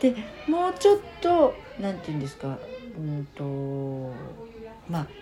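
Pausing long and often, a woman talks at a fairly slow pace over noticeable background noise. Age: 50s. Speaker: community volunteer leader. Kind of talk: casual interview.

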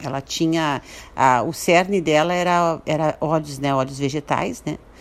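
A woman speaks at a moderate pace. Her pitch is very deep and low, with fairly even intonation. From Brazil, Santo Antônio da Patrulha, Rio Grande do Sul. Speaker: businesswoman and writer. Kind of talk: radio interview.

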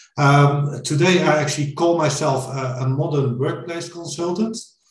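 Audible room echo follows a man speaking at a moderate pace with ordinary pitch variation. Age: 40s. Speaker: IT consultant. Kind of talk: interview.

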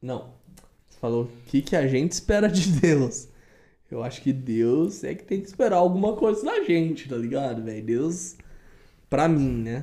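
Long, frequent pauses break up a man's speech, which has a dark, mellow tone and lively intonation. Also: fairly high pitch for a man, fairly slow pace. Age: 20s. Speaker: podcast guest. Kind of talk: casual chat.

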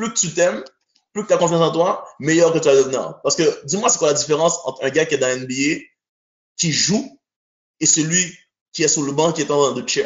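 An animated man with a fairly high pitch moves at a fairly quick pace with ordinary pitch variation and long, frequent pauses. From Montreal, Quebec (born in Haiti). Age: 30s. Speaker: basketball coach. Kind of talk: casual chat.

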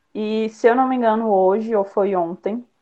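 An ordinary speaking voice moves at a fairly slow pace with fairly even intonation. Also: woman. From Brasília, Brazil. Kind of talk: online panel talk. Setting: online live stream.

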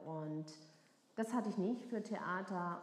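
A woman with a slight Baden accent speaks with ordinary pitch variation over audible room echo. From southwest Germany, near Freiburg. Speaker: actress and cabaret performer. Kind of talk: casual chat. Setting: make-up styling session.

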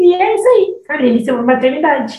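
Audible room echo surrounds a woman who talks at a moderate pace with lively intonation. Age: 20s. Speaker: psychologist. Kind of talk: casual chat.

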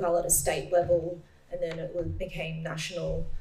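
Her voice sits fairly low, and this woman talks at a moderate pace in a monotone, flat intonation. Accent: Australian. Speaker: middle-distance runner. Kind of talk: panel Q&A. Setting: stage with audience.

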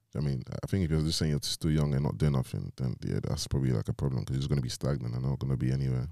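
A man with a London accent, a dark, mellow tone and very deep, low pitch, fairly even intonation, very fast pace with hardly any pauses, in a dry, close sound with no echo. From London, England (Nigerian heritage). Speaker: podcast co-host. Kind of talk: casual chat.

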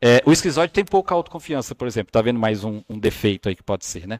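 A man races along at a very fast pace, his pitch swinging very widely, on a very clean recording with a silent background. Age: 30s. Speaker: body language analyst. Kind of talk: casual chat. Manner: animated.

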